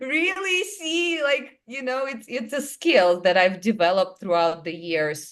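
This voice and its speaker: A woman with a Russian accent speaks at a fairly slow pace and a high pitch, with very wide pitch swings and hardly any pauses. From small town in Russia. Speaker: clairvoyant and hypnotherapist. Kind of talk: interview storytelling. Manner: animated.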